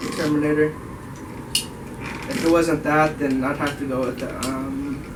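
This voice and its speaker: A man with an American accent speaks at a moderate pace and a fairly high pitch, his intonation monotone and flat. Noticeable background noise and audible room echo fill the recording. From US West Coast, Bay Area (Oakland). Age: 20s. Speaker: car enthusiast group member. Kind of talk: casual self-introduction. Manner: casual, laid-back.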